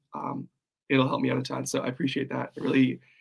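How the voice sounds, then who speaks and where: A man talks at a fairly quick pace in a fairly high pitch, with vocal fry. His pitch varies in an ordinary way. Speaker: copywriting coach. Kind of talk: livestream. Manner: casual, halting.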